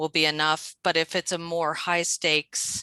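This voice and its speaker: Over a quiet background, a woman with a fairly low, bright, sharp voice talks at a moderate pace in a monotone, flat way, the sound dry with no echo. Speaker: adult literacy teacher; teacher presenting to colleagues. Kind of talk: teacher training workshop. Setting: video call. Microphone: video call.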